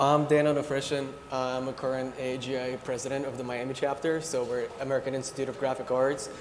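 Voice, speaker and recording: With audible room echo and noticeable background noise, a man talks at a very fast pace with hardly any pauses in a monotone, flat intonation. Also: medium pitch for a man. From Ukraine. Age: 30s. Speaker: creative director. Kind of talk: panel discussion.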